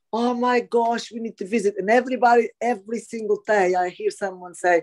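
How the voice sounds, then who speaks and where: With a Portuguese accent and a dark, mellow tone, a woman talks at a moderate pace in a dry, close sound with no echo. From Portugal. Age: 40s. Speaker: property developer. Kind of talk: interview answer.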